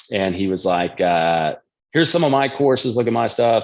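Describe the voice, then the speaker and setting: Over a quiet background, a man speaks in a Texan accent at a medium pitch. His intonation is lively and his pace fairly quick. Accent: Texan American. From Texas. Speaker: nutrition and fitness coach. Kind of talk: casual chat. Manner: casual, profane.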